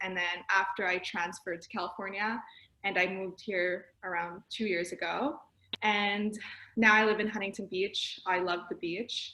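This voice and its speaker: A woman speaks in a bright, sharp tone with fairly even intonation. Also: medium pitch for a woman, moderate pace. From Canada, Montreal. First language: French. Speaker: accountant. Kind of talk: career talk presentation.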